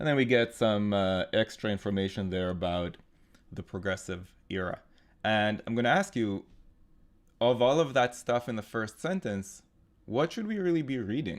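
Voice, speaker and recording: At a moderate pace, a man with a medium pitch and a non-native accent speaks with lively intonation. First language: not English. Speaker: GMAT tutor. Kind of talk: live online tutorial; scripted intro. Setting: live online webinar with chat.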